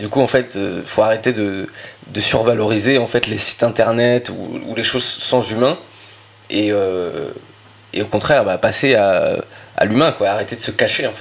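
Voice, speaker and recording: A man at a moderate pace with long, frequent pauses, amid noticeable background noise. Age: 20s. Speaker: entrepreneur and ghostwriter. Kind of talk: interview. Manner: hesitant, many fillers and repetitions.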